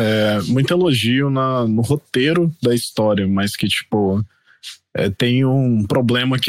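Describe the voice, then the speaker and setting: A man's normal speaking voice at medium pitch with ordinary pitch variation, a fairly slow pace and a dry, close sound with no echo. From Brazil, Mato Grosso do Sul (Campo Grande). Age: 30s. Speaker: podcast guest, gamer. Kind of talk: casual chat.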